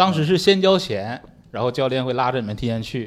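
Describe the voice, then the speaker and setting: The man's intonation is lively. He talks at a very fast pace. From Northeast China. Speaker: stand-up comedian. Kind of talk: casual chat. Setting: stage with audience.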